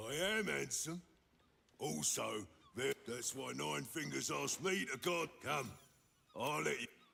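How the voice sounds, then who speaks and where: A raspy, put-on character voice at a fairly slow pace, with long, frequent pauses. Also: man. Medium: video game. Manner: terse, clipped.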